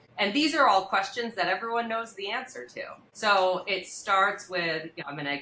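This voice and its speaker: Noticeable background noise surrounds a woman as she talks. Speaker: criminal defense attorney. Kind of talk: podcast interview. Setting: studio. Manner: naturally loud; fast.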